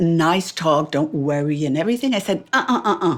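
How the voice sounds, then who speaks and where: A woman with a French accent speaks with very wide pitch swings. The recording is very clean, with a silent background. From France. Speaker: author. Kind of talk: interview answer.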